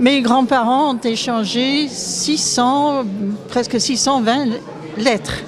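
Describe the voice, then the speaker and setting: Amid audible room echo and crowd noise, a woman with a Scottish accent speaks very slowly in a fairly high voice with fairly even intonation. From Scotland. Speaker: author and viol player. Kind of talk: public speech at exhibition opening. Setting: museum event with audience. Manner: halting.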